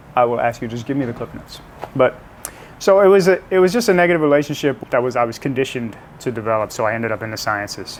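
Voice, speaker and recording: A man with an American accent speaks at a very fast pace, his pitch medium and his intonation lively. Noticeable background noise sits behind him. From US South, South Louisiana (New Orleans area, Cajun). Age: 40s. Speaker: scientist (chemistry PhD), podcast guest.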